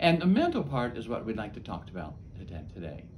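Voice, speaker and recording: A man is speaking. There is audible room echo. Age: 70s. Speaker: chaplain. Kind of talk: talk to camera.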